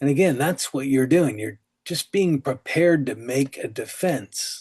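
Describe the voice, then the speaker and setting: A man's somewhat breathy, fairly high-pitched voice at a fairly slow pace, with ordinary pitch variation and a dry, close sound with no echo. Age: 60s. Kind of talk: sermon. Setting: online call. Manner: casual, conversational.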